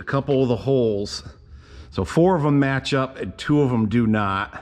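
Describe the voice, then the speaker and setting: A man's medium-pitched voice with lively intonation at a moderate pace. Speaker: tractor restorer and video host. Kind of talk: hands-on repair tutorial. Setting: workshop. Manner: casual, folksy with frequent fillers. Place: workshop. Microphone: phone near.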